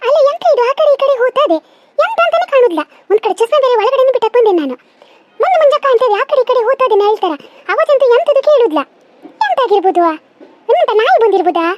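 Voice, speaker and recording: A woman performs a cartoonish character voice, squeaky and extremely high in pitch with very wide pitch swings. She keeps a moderate pace in a dry, close sound with no echo. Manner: grumbling, suspicious.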